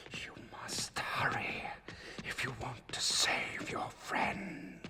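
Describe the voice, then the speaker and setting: Whispering in a cartoonish character voice at a very slow pace. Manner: solemn, otherworldly.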